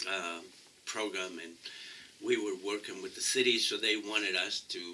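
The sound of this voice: At a moderate pace, a man with a fairly low pitch speaks in a bright, sharp tone and fairly even intonation.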